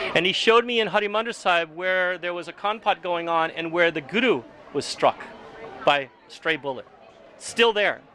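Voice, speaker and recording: A high-pitched man at a moderate pace, with ordinary pitch variation and noticeable background noise. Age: 60s. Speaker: Sikh community member sharing oral history. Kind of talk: oral history interview. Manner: halting.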